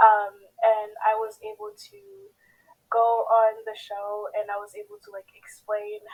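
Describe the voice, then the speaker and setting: A woman with a Haitian accent speaks very slowly in a fairly high voice, her intonation flat and monotone. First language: Haitian Creole. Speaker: pageant contestant. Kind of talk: interview.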